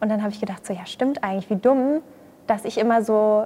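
The woman's voice sits fairly high. She talks at a very fast pace. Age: 20s. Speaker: social media creator and yoga practitioner. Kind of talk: casual chat.

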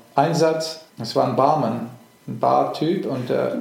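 A man's fairly high, lively voice amid noticeable background noise and audible room echo. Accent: English. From England and Germany. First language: English (speaking German). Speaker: actor. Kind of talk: interview. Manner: halting, many fillers.

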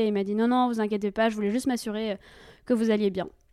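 Her tone is dark and mellow. The woman speaks at a fairly high pitch with fairly even intonation. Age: 20s. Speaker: storyteller guest. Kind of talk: personal testimony.

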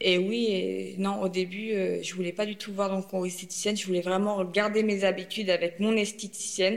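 Over noticeable background noise, a woman talks at a moderate pace with hardly any pauses. Her medium-pitched voice stays monotone and flat. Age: 30s. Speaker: breast cancer patient sharing her experience. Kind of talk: testimony. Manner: halting.

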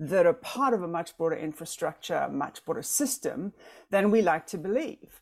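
With a South African accent and lively intonation, a woman speaks at a moderate pace. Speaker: former corporate executive, board member and coach. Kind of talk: panel discussion.

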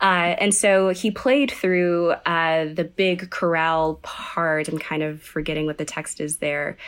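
A woman with an American accent speaks in a plain, everyday voice, her pitch fairly low. She talks at a fairly slow pace with hardly any pauses and ordinary pitch variation. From Texas (Sugar Land, Houston area). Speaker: composer. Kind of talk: interview chat.

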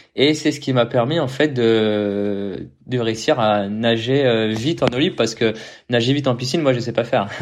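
A man with a plain, everyday voice talks at a moderate speed in a middle register, with a usual amount of pitch movement. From Paris region, France. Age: 20s. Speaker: professional triathlete. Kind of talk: casual interview.

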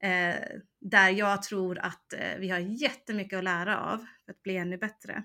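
Her tone is bright and sharp as the woman speaks at a fairly slow pace. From United States. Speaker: online service manager. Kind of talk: casual interview. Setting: remote link.

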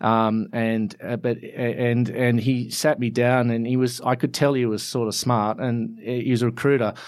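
Here a man with an Australian accent speaks at a medium pitch and a moderate pace. His intonation is fairly even, and he hardly pauses. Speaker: architect. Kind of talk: interview. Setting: studio. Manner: halting, many fillers and repeats.

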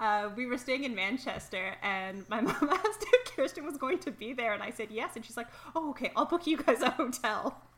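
A woman with a Canadian accent, high-pitched and fairly quick, with very wide pitch swings, big swings in loudness and hardly any pauses. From Toronto, Canada. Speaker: podcast co-founder and soccer fan.

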